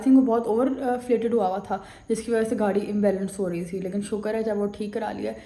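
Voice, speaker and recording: Amid noticeable background noise and audible room echo, a woman speaks fairly quickly in a fairly high voice with fairly even intonation. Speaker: vlogger. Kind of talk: casual vlog.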